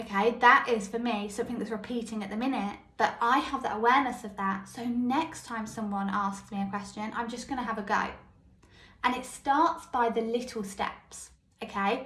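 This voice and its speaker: A woman speaks with a squeaky, fairly high voice. Her intonation stays fairly even, and the room echo is audible. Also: moderate pace. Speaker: mindset coach podcaster. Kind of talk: podcast monologue. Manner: casual, conversational.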